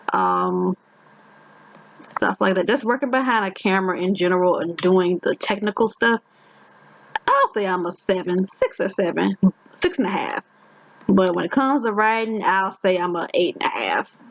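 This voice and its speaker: With a Virginia accent, a woman speaks at a moderate pace, leaving long, frequent pauses. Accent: Virginia accent, rural county flavour. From Virginia, Richmond, rural county family. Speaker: gaming YouTuber. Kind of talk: casual chat. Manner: halting.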